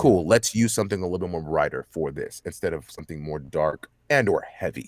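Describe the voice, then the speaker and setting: Fairly quick and lively in intonation, a man with an American accent speaks in a very deep, low voice. The sound is dry and close, with no echo. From Texas, Dallas. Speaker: voice actor. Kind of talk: interview. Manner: fast talker.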